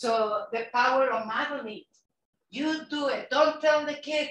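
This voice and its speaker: With a Mexican accent, a woman speaks at a fairly slow pace in a high pitch. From Mexico City, Mexico. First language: Spanish. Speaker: nonprofit executive director, former bilingual teacher. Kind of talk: invited talk at a club meeting. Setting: club meeting, partly online.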